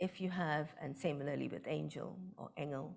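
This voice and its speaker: In a Bengali accent, a woman speaks at a moderate pace with a very deep, low voice, vocal fry and ordinary pitch variation. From India, West Bengal. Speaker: professor of linguistics. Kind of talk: lecture.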